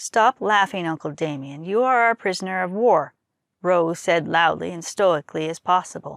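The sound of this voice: The clip has an unforced reading voice with ordinary pitch variation over a quiet background.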